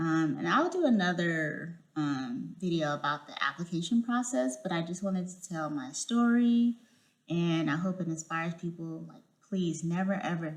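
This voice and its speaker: At a moderate pace, a woman with a fairly low pitch speaks with lively intonation and big swings in loudness. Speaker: vlogger, incoming clinical psychology PhD student. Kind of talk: casual vlog monologue. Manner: halting, many fillers.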